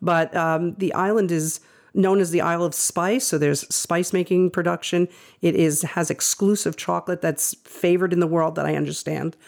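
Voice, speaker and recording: An unremarkable speaking voice from a woman, fairly low in pitch, at a moderate pace in a very clean recording with a silent background. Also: fairly even intonation, very even loudness. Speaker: physical therapist and adjunct professor. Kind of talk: casual interview chat.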